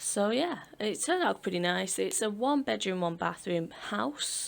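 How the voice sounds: Vocal fry runs through a woman's voice at a moderate pace. Her intonation stays fairly even.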